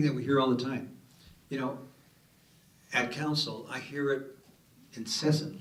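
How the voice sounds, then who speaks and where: In a room with audible echo, a somewhat breathy man with a fairly high pitch talks at a moderate pace, leaving long, frequent pauses. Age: 70s. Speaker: city councilor on a panel. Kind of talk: panel discussion. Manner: animated.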